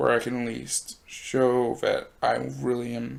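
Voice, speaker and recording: Soft-spoken, a man is captured in a very clean recording with a silent background. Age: 20s. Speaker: YouTuber and broadcasting student. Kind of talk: personal vlog monologue. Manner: halting.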